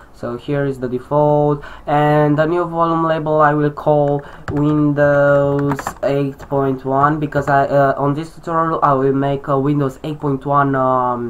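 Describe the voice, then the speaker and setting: A fairly slow voice in a Romanian accent, over noticeable background noise. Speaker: tech tutorial youtuber. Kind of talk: tutorial. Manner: halting, many fillers.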